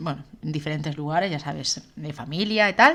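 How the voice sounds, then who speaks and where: Her intonation is lively as the woman talks. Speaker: podcast co-host. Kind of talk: casual chat. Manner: loud.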